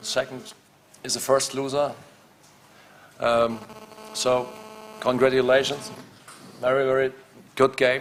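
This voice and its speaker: Against noticeable background noise, a man speaks fairly slowly at medium pitch with fairly even intonation. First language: not English. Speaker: handball coach. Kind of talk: press conference. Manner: halting.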